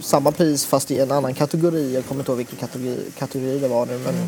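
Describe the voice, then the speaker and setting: A man with a fairly high voice talks at a very fast pace with fairly even intonation over noticeable background noise. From Sweden. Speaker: poet and photographer. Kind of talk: casual interview. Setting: restaurant. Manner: halting.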